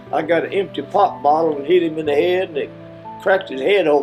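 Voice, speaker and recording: With an Appalachian accent, the speaker talks at a moderate pace with ordinary pitch variation while music plays in the background. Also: man. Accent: Appalachian Kentucky. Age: 80s+. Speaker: elderly interviewee. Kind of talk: oral history interview. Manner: halting.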